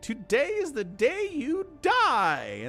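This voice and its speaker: A put-on character voice with a high pitch plays over clear music in the background. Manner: mocking, hysterical giggling.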